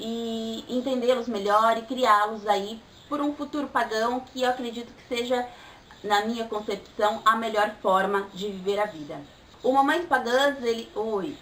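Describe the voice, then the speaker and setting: A woman's fairly high voice moves along at a rather slow pace with normal rises and falls in pitch, while clearly audible noise sits behind her. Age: 20s. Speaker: vlogger, pagan mother. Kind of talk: vlog monologue.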